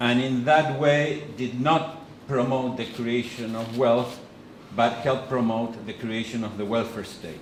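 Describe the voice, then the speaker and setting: With an Argentine accent, a man speaks fairly slowly at a medium pitch and with fairly even intonation, amid audible room echo and noticeable background noise. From Argentina. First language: Spanish. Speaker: economist and think-tank president. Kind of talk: lecture with consecutive interpretation. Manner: halting.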